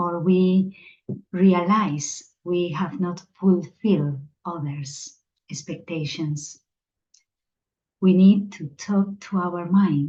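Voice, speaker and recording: With a Spanish accent, a woman speaks at a very slow pace in a fairly low, dark, mellow voice that is somewhat breathy. Her pitch variation is ordinary, and she takes long, frequent pauses. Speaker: meditation teacher. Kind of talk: spiritual talk.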